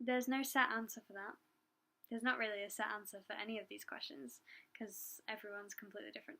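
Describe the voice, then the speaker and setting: Quiet and very fast, a woman speaks with a fairly high pitch and a bright, sharp tone, her loudness swinging widely. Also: ordinary pitch variation. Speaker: doula. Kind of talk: casual Q&A talk to camera. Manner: hesitant, many fillers; quiet, trying to talk louder.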